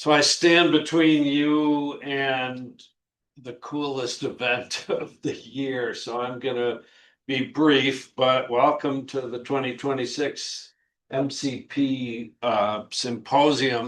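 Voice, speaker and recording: Against a quiet background, a man with a medium-pitched voice speaks very slowly in a monotone, flat intonation. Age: 60s. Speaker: university dean. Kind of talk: welcoming speech.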